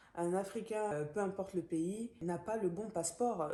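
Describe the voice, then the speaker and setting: A woman speaks over noticeable background noise. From Gabon. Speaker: book vlogger. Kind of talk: book review monologue. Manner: hesitant, many fillers.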